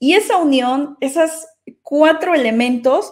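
The background stays quiet. A woman talks at a fairly slow pace. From Mexico, Xalapa, Veracruz; Veracruz, Mexico. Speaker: data engineer and AI doctor; conference speaker. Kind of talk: conference talk. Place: home room. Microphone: webcam.

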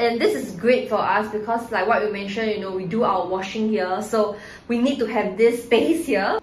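Audible room echo and light background noise surround a woman's voice. She talks at a moderate pace with ordinary pitch variation. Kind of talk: casual tutorial. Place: bathroom. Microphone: phone near.

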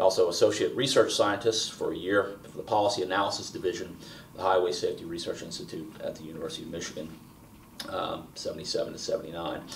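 A man talks at a very fast pace with big swings in loudness, and light background noise is present. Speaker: interviewer. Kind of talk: oral history interview. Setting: filmed interview in Baltimore. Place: home room.

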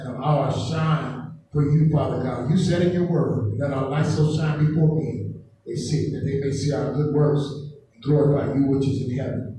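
Against light background noise and strong room echo, a man speaks in a monotone, flat intonation. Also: moderate pace. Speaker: preacher. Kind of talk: sermon. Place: church.

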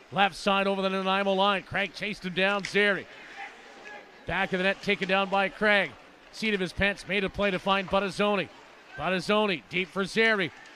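An animated voice, raised and projected, moves at a moderate pace over noticeable background noise. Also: man. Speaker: radio play-by-play announcer. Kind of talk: live sports play-by-play commentary. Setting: radio broadcast from arena. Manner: animated, spiking in excitement on goals.

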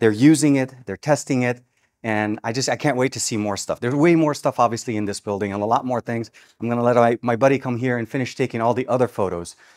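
A man talks very fast with ordinary pitch variation. Behind him the background stays quiet. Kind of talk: casual vlog chat.

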